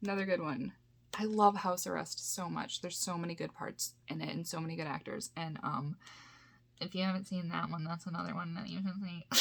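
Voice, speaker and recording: A woman speaks with a somewhat breathy voice. Her intonation stays fairly even. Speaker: YouTuber, VHS collector. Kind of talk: casual unboxing haul video. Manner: rambling, filler-heavy with frequent um and like.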